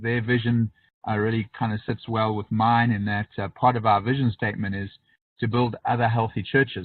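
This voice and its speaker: A man with a South African accent, fairly low in pitch, at a fairly quick pace with monotone, flat intonation. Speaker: pastor. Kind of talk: webinar presentation. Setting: online webinar. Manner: fast.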